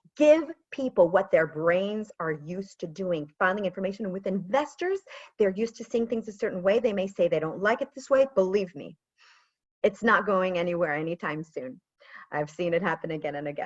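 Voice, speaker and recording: A woman with a plain, everyday voice speaks at a fairly quick pace in a medium pitch, her intonation lively and her loudness swinging widely. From US, moved to Israel. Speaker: pitch and storytelling coach. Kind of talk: webinar presentation.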